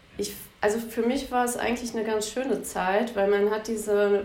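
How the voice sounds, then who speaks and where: Over noticeable background noise and audible room echo, a woman talks at a fairly quick pace in a fairly high, monotone voice with flat intonation. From Bielefeld, Germany. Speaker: lawyer. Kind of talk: interview.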